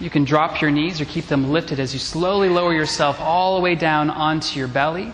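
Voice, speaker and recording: Amid noticeable background noise, a man with a fairly high voice speaks in a calm tone at a fairly quick pace, with fairly even intonation and hardly any pauses. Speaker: yoga instructor. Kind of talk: live guided vinyasa yoga class cueing poses to the breath. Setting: in-person class with students in the room. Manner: steady, calm instructional cueing paced to inhale and exhale; encouraging, with brief affirmations between cues.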